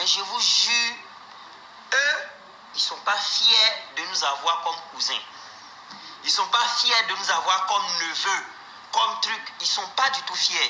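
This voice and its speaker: Through noticeable background noise and audible room echo, a man with an Ivorian accent speaks at a very slow pace with long, frequent pauses. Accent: Ivorian African French. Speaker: comedian. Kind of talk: live stream monologue.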